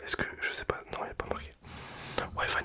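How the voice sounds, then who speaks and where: A whispered voice keeps a moderate pace as noticeable background noise runs underneath. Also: man. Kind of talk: ASMR product presentation. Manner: whispered, soft-spoken; casual, chatty.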